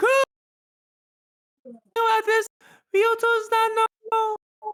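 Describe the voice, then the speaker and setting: In a put-on character voice, the speaker squeaks at an extremely high pitch, flat and monotone, at a very slow pace. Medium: game stream. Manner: excitable, loud.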